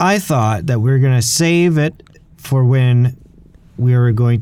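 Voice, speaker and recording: The pace here is moderate. It is an unremarkable speaking voice with lively intonation. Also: man. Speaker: podcast host. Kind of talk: casual chat. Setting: video call.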